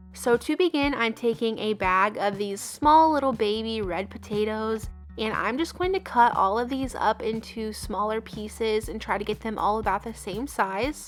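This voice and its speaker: Music plays behind a woman whose voice sits at a fairly high pitch with ordinary pitch variation. She speaks with hardly any pauses. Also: moderate pace. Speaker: home cook. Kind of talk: cooking tutorial narration. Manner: friendly, casual.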